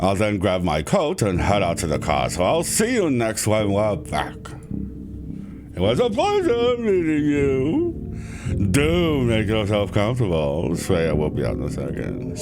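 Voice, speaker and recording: A man uses a put-on character voice, fairly low in pitch. He speaks at a moderate pace over loud background noise. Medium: game stream. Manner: polite, genial.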